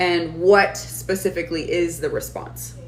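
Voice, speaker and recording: This is a woman's voice. The room adds audible echo. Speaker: online business coach. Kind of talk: live stream class. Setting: live stream. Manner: fast.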